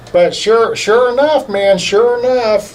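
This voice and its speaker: A man with lively intonation talks at a fairly slow pace while noticeable background noise carries on. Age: 60s. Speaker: insurance agent, boxing fan. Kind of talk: casual interview chat.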